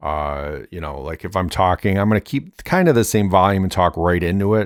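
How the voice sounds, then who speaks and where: A man's very deep, low pitch with ordinary pitch variation and a fairly quick pace on a very clean recording with a silent background. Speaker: YouTuber testing microphones. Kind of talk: casual demonstration. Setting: bedroom with reflective walls. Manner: loud; halting, many fillers.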